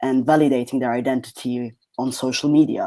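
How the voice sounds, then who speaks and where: With a non-native accent, a man speaks at medium pitch in a dark, mellow tone. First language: not English. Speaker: PhD researcher. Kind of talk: academic presentation.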